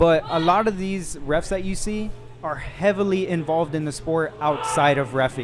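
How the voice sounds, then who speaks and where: A man speaks at a moderate pace with a high pitch and ordinary pitch variation. Noticeable background noise runs underneath. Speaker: powerlifting referee and meet commentator. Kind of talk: live commentary.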